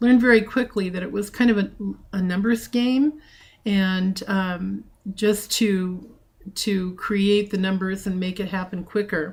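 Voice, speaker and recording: A woman speaks at a fairly slow pace with a medium pitch, fairly even intonation and a somewhat breathy sound. Her recording is very clean, with a silent background. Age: 60s. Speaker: trading group organizer. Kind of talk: personal introduction talk. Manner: hesitant, with frequent fillers.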